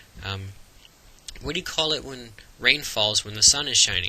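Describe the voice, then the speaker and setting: A man talks in an American accent with ordinary pitch variation. There is noticeable background noise. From Florida, USA. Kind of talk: casual talk to camera.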